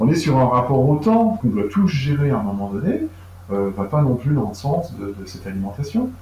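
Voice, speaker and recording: With lively intonation and a medium pitch, a man talks at a fairly quick pace over noticeable background noise. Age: 50s. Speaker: food traceability platform founder. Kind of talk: interview. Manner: halting, frequent repetitions and fillers.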